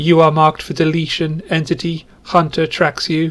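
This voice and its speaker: In a whiny, put-on character voice, a man speaks at a fairly high pitch and moderate pace with monotone, flat intonation. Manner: menacing, mechanical.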